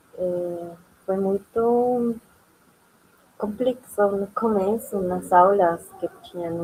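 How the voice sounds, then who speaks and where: Against noticeable background noise, a woman of medium pitch speaks with a non-native accent and fairly even intonation. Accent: foreign accent in Portuguese. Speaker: immigrant panelist, former master's student. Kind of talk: panel discussion. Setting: university auditorium event.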